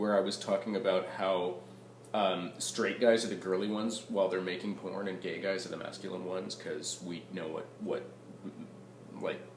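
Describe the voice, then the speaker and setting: A man's very deep, low voice at a moderate pace, with ordinary pitch variation over noticeable background noise. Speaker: vlogger. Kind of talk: casual talk to camera.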